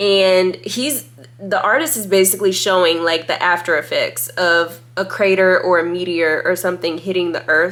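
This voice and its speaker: Her tone is animated, with ordinary pitch variation at a medium pitch. The woman keeps a moderate pace. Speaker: tarot reader and YouTuber. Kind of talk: casual deck review monologue.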